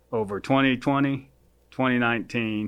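A man with a normal speaking voice and an American accent talks at a moderate pace with a medium pitch and fairly even intonation. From rural Oklahoma. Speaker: county public works official. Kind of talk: interview.

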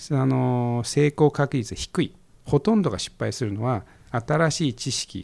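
A man's medium-pitched, ordinary speaking voice with lively intonation at a fairly slow pace, dry and close with no echo on a very clean recording against a silent background. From Japan, Koriyama, Fukushima. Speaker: investor and entrepreneur. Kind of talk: casual interview. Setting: studio.

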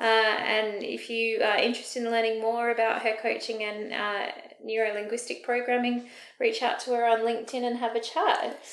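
With an Australian accent, a woman speaks at a moderate pace in a fairly high voice with monotone, flat intonation. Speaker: podcast host. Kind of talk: casual interview.

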